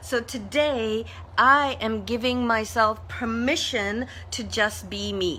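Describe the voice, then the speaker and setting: A woman's very slow speech in a room with audible echo. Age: 60s. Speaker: motivational social media host. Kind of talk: live stream monologue. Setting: Facebook live video. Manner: casual, conversational.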